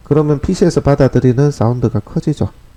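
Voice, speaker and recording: A man talks at a fairly quick clip in a dark, mellow tone. The sound is dry and close, without echo. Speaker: real estate marketing instructor. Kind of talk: video critique lecture.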